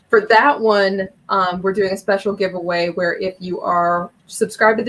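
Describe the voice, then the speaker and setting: At a fairly quick pace, a woman with a Midwestern US accent speaks at a medium pitch with ordinary pitch variation. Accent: US Midwest. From Ohio. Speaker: comic book YouTuber. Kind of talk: casual interview chat. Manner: fast.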